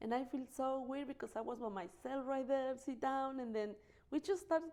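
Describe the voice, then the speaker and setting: A woman with a non-native accent speaks at a fairly quick pace, her high pitch carrying a dark, mellow tone. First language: not English. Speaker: interview guest. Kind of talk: interview. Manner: halting.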